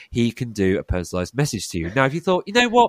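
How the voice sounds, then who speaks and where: A man is speaking in a very clean recording with a silent background. The sound is dry and close, with no echo. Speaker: quiz host. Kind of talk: casual chat.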